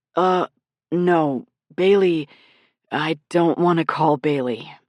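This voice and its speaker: In a put-on character voice, a man speaks at a very slow pace with a high, raspy, gravelly pitch and fairly even intonation, the sound dry and close with no echo against a quiet background. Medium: read story.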